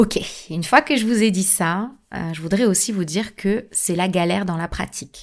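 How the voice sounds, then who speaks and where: At a fairly slow pace, a woman speaks with a medium-pitched voice. Her pitch varies in an ordinary way. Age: 30s. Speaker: podcast host. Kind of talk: podcast monologue. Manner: hesitant.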